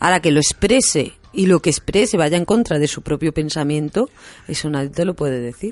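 Lively intonation marks this woman's voice, which has a very deep, low pitch. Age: 40s. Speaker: hypnotherapist and radio host. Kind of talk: radio talk show conversation.

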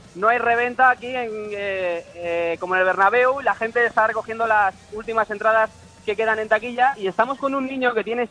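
A man talks in a high voice with ordinary pitch variation, raised and projected at a moderate pace. There is noticeable background noise, and the sound is dry and close with no echo. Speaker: field reporter. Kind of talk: live field report.

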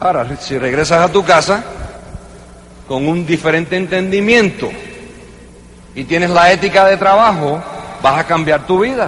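Moderate pace with long, frequent pauses, ordinary pitch variation and noticeable background noise. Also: man, high pitch for a man. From New York, Cuban-American family. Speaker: network marketing leader. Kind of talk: motivational speech. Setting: convention stage with audience.

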